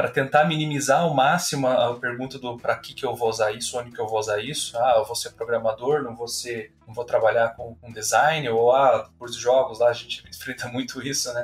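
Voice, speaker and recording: The speech runs at a fairly quick pace with hardly any pauses and fairly even intonation, while the loudness swings widely. Music plays in the background. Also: man, medium pitch for a man. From Brazil, Curitiba. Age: 30s. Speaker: university professor. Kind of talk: casual interview.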